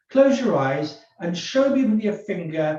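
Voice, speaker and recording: A man with a British accent talks at a fairly slow pace with lively intonation, and audible room echo surrounds his voice. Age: 70s. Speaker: forensic psychologist. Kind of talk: webinar discussion.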